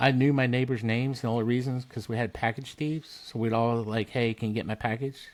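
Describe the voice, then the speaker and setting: A man's unremarkable speaking voice at medium pitch, fairly quick and with hardly any pauses, in fairly even intonation. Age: 60s. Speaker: military veteran and blacksmithing business founder. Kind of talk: casual chat. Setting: podcast interview.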